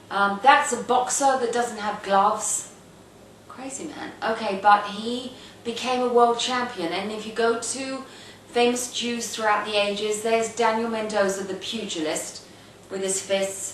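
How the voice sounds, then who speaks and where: A woman with a fairly high pitch speaks at a fairly slow pace, her intonation fairly even but her loudness swinging widely. Noticeable background noise and audible room echo fill the recording. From England, northwest London. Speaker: video blogger. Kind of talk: casual monologue. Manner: halting, many fillers.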